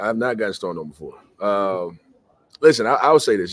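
With an American accent, this is a plain, everyday voice moving at a fairly quick pace. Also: man. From US South. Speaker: college basketball assistant coach. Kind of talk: interview.

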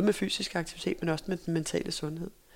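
Fairly even intonation marks a woman's voice, which has vocal fry. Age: 40s. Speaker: former sprinter and running coach. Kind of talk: casual interview. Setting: in person recording.

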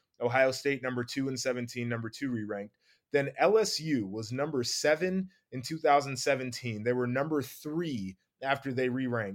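A man with an unremarkable speaking voice talks at a moderate pace and medium pitch with ordinary pitch variation, recorded very cleanly with a silent background. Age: 20s. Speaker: podcast co-host, college football analyst. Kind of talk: casual sports talk podcast.

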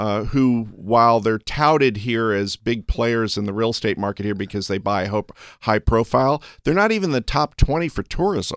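The voice shows ordinary pitch variation, and the sound is dry and close with no echo. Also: man, medium pitch for a man, moderate pace. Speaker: real estate appraiser and analyst. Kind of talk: interview. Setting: studio. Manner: halting, stumbling over words.

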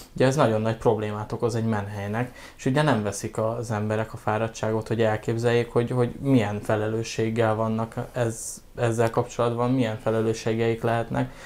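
A man talks at a fairly quick pace in a monotone, flat delivery with hardly any pauses. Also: medium pitch for a man. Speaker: animal rescue operations manager. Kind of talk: casual interview.

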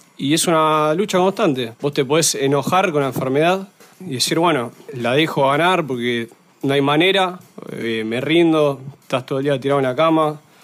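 The speaker moves at a moderate pace with ordinary pitch variation. Noticeable background noise runs underneath. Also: man, fairly high pitch for a man. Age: 20s. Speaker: drum student living with cystic fibrosis. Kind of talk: interview.

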